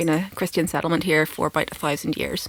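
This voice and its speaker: A woman with a Northern Irish accent talks at a very fast pace in a fairly low voice with ordinary pitch variation, the sound dry and close with no echo. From Northern Ireland. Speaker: film podcast co-host, academic. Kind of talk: casual chat.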